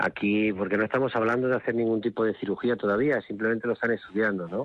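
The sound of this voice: Fast, fairly evenly intoned speech from a man with fairly low pitch.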